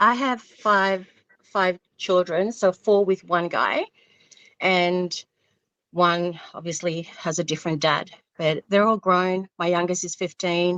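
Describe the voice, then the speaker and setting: A woman with an Australian accent speaks very slowly in a medium pitch, with fairly even intonation and long, frequent pauses. The sound is dry and close, with no echo. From Vanuatu. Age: 40s. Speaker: caller on a dating show. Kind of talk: call-in interview. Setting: phone call. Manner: halting.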